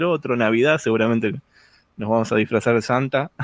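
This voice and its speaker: At a fairly quick pace, a man in a Rioplatense accent speaks with lively intonation, the sound dry and close with no echo. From Argentina, Buenos Aires. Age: 40s. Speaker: podcast host. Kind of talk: casual chat. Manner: animated.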